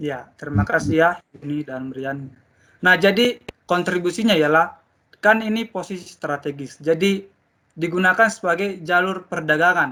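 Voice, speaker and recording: Bright and sharp in tone, a man's high-pitched voice moves at a moderate pace. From Indonesian mountain region. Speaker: teacher. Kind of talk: classroom lesson. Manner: loud.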